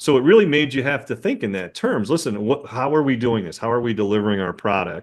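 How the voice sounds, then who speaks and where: With a quiet background, a man speaks fairly quickly in a medium pitch and lively intonation, a normal speaking voice. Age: 60s. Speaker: dentist and practice owner. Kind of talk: casual podcast conversation.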